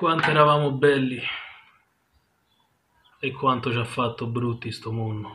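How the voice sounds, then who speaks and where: Noticeable background noise sits behind a man speaking at a fairly slow pace. His intonation is fairly even, broken by long, frequent pauses. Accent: Roman. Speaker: poet. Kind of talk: poetry reading. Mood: wistful, intimate, melancholic. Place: home room. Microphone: webcam.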